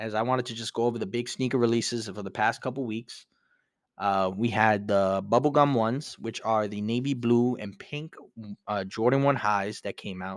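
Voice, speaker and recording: A man with a New York accent speaks at a moderate pace on a very clean recording with a silent background. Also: medium pitch for a man, fairly even intonation. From New York, Brooklyn. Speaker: podcast host. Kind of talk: casual solo podcast talk.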